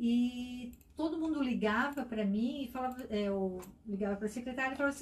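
High-pitched and with lively intonation, a woman talks at a fairly quick pace. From Itajaí, Santa Catarina, Brazil. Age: 40s. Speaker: business founder. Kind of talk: interview. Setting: studio.

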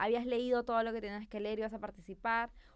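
Spoken at a fairly quick pace, this is an unremarkable speaking voice. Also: woman. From Peru. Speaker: marketing professional. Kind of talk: casual chat. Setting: studio.

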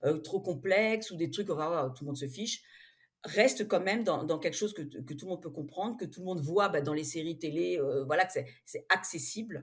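A normal speaking voice at a fairly quick pace, with lively intonation and big swings in loudness. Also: woman, fairly low pitch for a woman. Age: 50s. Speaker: romance novelist. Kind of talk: interview.

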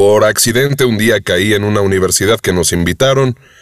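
With a Mexican accent, a man talks at a moderate pace in a fairly low pitch with lively intonation, the sound dry and close with no echo. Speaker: voice actor and audiobook narrator. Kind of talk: interview conversation.

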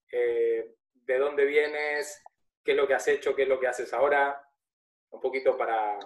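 Long, frequent pauses in a man's speech at a moderate pace. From Argentina. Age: 30s. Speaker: podcast host. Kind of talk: casual interview conversation.

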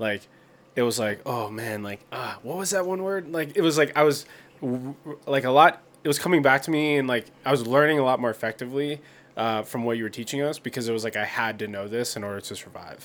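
In an American accent, a man with an unremarkable speaking voice talks at a fairly quick pace and medium pitch. The recording is very clean, with a silent background. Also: ordinary pitch variation. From rural Pennsylvania. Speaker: podcast co-host. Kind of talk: casual chat.

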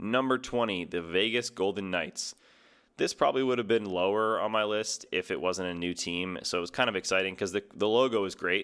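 A man speaks in a plain, everyday voice with an American accent, fairly low in pitch with ordinary pitch variation. His fairly quick delivery comes through a very clean recording with a silent background. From New Jersey. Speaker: sports podcast host. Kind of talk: solo casual commentary.

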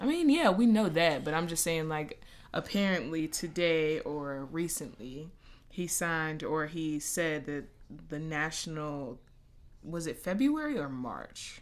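A woman talks at a fairly slow pace with a very deep, low pitch. Her pitch variation is ordinary, and there is audible room echo. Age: 20s. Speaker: podcast host. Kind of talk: casual chat.

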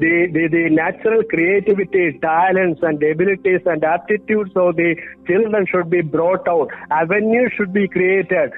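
Amid noticeable background noise, a man with a high pitch speaks at a very even loudness. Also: fairly even intonation, moderate pace. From Kerala, India. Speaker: behavioral scientist and author. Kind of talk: interview. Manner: hesitant with frequent fillers.

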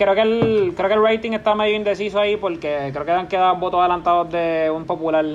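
A man with a Puerto Rican accent, high-pitched, at a fairly quick pace with hardly any pauses and fairly even intonation, over noticeable background noise. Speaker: podcast host. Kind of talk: casual chat.

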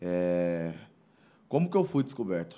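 On a very clean recording with a silent background, a man speaks at a fairly slow pace. His pitch swings very widely. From Brazil, Mairinque (São Paulo state). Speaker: former athlete and musician. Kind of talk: casual interview chat. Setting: studio.

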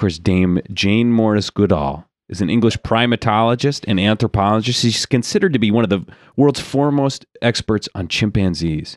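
A man talks at a moderate pace in a plain, everyday voice, fairly low in pitch with ordinary variation. The sound is dry and close with no echo, on a very clean recording with a silent background. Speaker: comedy podcast host. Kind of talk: improv comedy chat. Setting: studio. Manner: laughs often.

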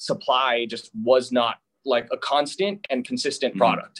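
A man speaks in a normal speaking voice, pitched fairly high. His pitch varies an ordinary amount. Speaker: hemp business owner. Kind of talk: interview.

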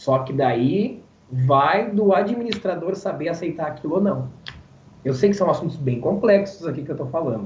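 Lively intonation marks a man's high-pitched voice at a moderate pace. Audible room echo surrounds him. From Rio Grande do Sul, Brazil (Barão do Triunfo, rural). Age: 20s. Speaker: event presenter and radio announcer. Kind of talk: casual interview chat. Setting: live-streamed podcast.

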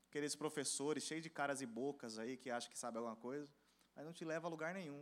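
Here a man speaks at a fairly quick pace. His tone is animated. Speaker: preacher. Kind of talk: sermon to a young church audience. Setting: church with live audience. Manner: animated, rhetorical questions, calls for audience response; emphatic, fervent, exhorting.

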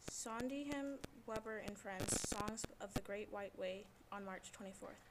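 Against noticeable background noise, a woman speaks very slowly at a fairly high pitch with fairly even intonation. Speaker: school club announcer. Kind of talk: reading aloud.

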